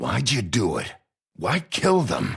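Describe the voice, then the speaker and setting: Using a put-on character voice, a man growls. His pitch sits in the medium range. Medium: video game. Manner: blunt, gruff.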